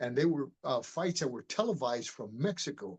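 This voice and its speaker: Here is a man with a normal speaking voice and an American accent. He has a fairly high pitch and lively intonation. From Miami, Florida, US. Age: 60s. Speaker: martial artist and retired police detective. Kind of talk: interview. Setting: podcast interview.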